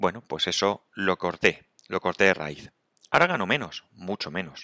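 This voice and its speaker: A bright, sharp tone at a moderate pace, in a dry, close sound with no echo. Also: man. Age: 50s. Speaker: podcaster. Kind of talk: solo reflective monologue. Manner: halting.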